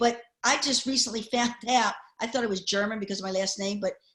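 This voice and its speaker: With a Baltimore accent, a woman speaks at a fairly quick pace and fairly even intonation. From US, Baltimore. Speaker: panelist. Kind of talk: casual panel chat.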